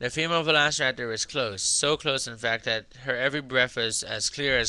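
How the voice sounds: Natural read-aloud delivery, pitch moving in an ordinary way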